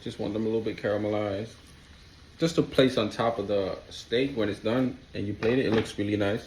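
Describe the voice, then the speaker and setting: With a non-native accent, a man speaks at a moderate pace in a medium pitch, his pitch varying in an ordinary way. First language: not English. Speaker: home cook, cooking video host. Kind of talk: cooking tutorial. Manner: casual, conversational.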